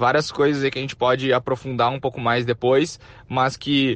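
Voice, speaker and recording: Over a quiet background, a man speaks at a medium pitch in a normal speaking voice. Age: 20s. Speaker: entrepreneur. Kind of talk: interview. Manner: casual.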